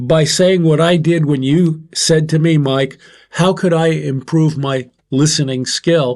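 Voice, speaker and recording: Fairly even intonation marks this man's speech. He talks at a fairly slow pace. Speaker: podcast co-host, military veteran. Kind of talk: casual discussion. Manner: loud.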